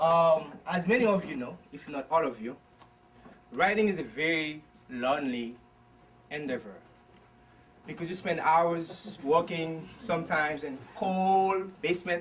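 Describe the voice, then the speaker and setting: A man talks loudly at a fairly slow pace, with a fairly high pitch and ordinary pitch variation. Long, frequent pauses break up his speech. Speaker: author. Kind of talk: book talk. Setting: bookstore event without microphone.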